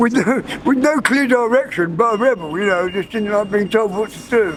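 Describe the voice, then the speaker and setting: Over noticeable background noise, a man with a high pitch and a southeast English accent speaks at a moderate pace. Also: ordinary pitch variation. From southeast England, Kent. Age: 60s. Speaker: rough sleeper. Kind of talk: street interview. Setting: outdoors. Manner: halting.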